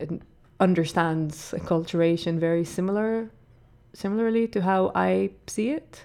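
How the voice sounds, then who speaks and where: With a dark, mellow tone, a woman speaks at a moderate pace in a fairly low pitch with ordinary pitch variation, on a very clean recording with a silent background. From Israel. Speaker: visiting artist and curator. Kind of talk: radio interview. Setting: studio.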